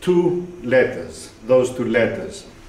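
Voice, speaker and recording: A man with a Greek accent is heard against noticeable background noise and audible room echo. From Greece. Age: 60s. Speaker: writer. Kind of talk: lecture.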